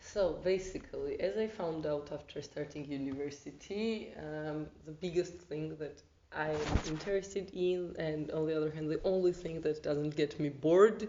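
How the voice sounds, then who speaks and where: A woman speaks with a Georgian accent at a moderate pace. Her pitch is very deep and low. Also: ordinary pitch variation. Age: 20s. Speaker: volunteer, arts student. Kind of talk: interview.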